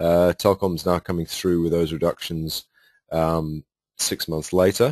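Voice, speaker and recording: A man with a British accent speaks at a moderate pace, the sound dry and close with no echo against a quiet background. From United Kingdom. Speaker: sales presenter. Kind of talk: webinar sales presentation. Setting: webinar.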